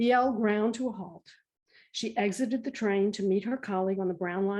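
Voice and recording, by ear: In a natural voice, someone reads aloud with a quiet background behind them.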